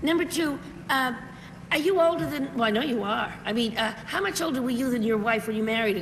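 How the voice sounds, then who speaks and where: A woman's fairly high voice, very fast and with lively intonation, over noticeable background noise. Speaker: game show panelist. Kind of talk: game show panel questioning.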